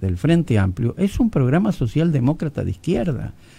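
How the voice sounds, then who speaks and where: With a dark, mellow tone and fairly high pitch, a man speaks at a moderate pace while his pitch swings very widely. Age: 80s+. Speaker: journalist and newspaper founder. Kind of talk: radio interview. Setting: radio studio.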